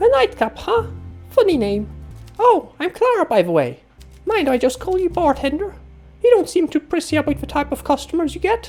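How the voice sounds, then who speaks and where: In a put-on, squeaky character voice with a high pitch, the speaker goes at a fairly quick pace with long, frequent pauses while faint music plays in the background. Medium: solo performance. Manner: chatty, wry.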